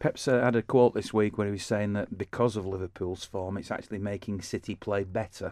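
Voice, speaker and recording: A man's fairly low voice, an ordinary speaking voice, at a fairly quick pace with hardly any pauses and fairly even intonation, in a dry, close sound with no echo over a quiet background. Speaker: radio host. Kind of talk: casual chat.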